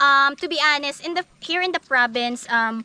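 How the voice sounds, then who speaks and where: A woman's raised, projected voice, high in pitch, at a moderate pace, with a dry, close sound and no echo. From Philippines, Southern Leyte. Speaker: vlogger. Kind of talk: casual vlog talk. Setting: outdoors on a hill. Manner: halting, frequent self-corrections.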